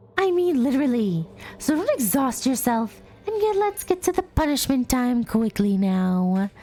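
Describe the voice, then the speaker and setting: A put-on character voice moves at a moderate pace with very wide pitch swings. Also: woman, high pitch for a woman. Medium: game stream. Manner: mocking, dismissive.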